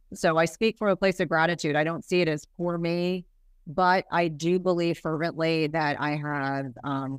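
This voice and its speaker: In an American accent, a woman speaks with a very deep, low pitch and fairly even intonation. The recording is very clean, with a silent background. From US Northeast (New Jersey). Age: 50s. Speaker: nurse practitioner and health podcast host. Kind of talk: casual interview chat.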